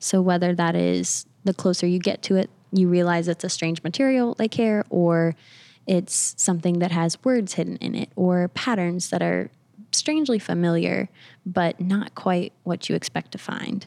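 Recorded very cleanly with a silent background and a dry, close sound with no echo, a woman with a normal speaking voice talks at a fairly low pitch and moderate pace with ordinary pitch variation. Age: 20s. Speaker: artist. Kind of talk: casual chat.

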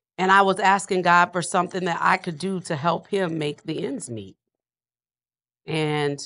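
The voice has a bright, sharp tone and an American accent. It moves at a moderate pace with ordinary pitch variation. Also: woman. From US South, New Orleans. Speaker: entrepreneur and author. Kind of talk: casual chat while cooking.

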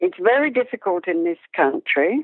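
With an Australian accent, a woman talks using ordinary pitch variation. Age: 60s. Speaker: dressage instructor and judge. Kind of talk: interview conversation.

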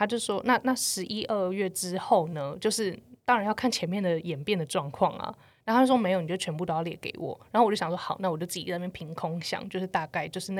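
Ordinary pitch variation comes through at a very fast pace in a very clean recording with a silent background. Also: woman. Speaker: podcast co-host, marketing professional. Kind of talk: casual chat. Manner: hesitant.

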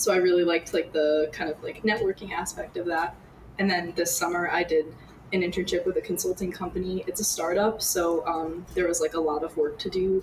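Over noticeable background noise, a woman with an American accent talks at a fairly quick pace in a flat monotone. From US Northeast. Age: 20s. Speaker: university student. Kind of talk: casual interview.

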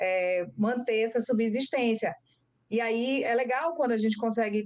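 Ordinary pitch variation marks a woman's unremarkable speaking voice. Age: 30s. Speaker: cocoa farmer and lawyer. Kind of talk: interview. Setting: video call.

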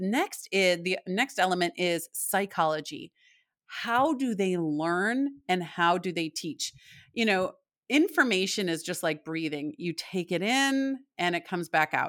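A plain, everyday voice from a woman with an American accent, medium pitch and lively intonation, in a very clean, silent-background recording with a dry, close sound and no echo. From US Midwest (Michigan). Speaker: parenting author and speaker. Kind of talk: interview.

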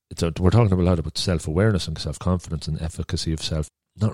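Speaking at a fast pace, a man with a low pitch and a dark, mellow tone sounds dry and close with no echo.

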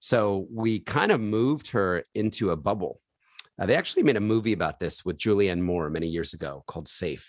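Talking at a fairly quick pace, a man with an American accent has an unremarkable speaking voice, fairly low pitch and ordinary pitch variation, on a very clean recording with a silent background. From US Northeast, Philadelphia. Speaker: charity founder. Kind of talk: interview.

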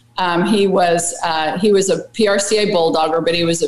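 Against noticeable background noise, a woman of medium pitch speaks at a moderate pace. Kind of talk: casual interview chat, storytelling. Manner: chatty, upbeat.

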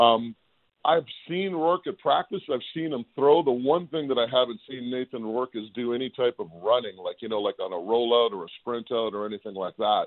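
A man with lively intonation talks at a moderate pace and medium pitch in a plain, everyday voice. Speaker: football analyst. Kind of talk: casual sports chat. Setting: phone call.

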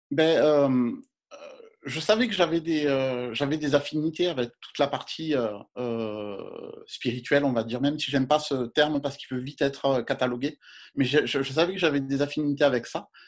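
A man's fairly high voice at a moderate pace, with ordinary pitch variation, on a very clean recording over a silent background. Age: 40s. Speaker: yoga and astrology page creator. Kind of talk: interview. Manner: halting.

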